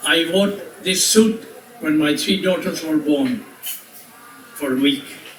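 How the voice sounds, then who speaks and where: With audible room echo and noticeable background noise, a man speaks at a fairly slow pace in a high pitch. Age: 80s+. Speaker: resort owner giving birthday speech. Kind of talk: birthday speech to guests. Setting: party with audience.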